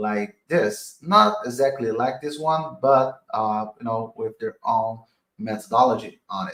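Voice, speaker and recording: Very slow speech in a Portuguese accent. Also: man. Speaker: crypto investor and streamer. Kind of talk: live stream analysis. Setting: live stream. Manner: halting.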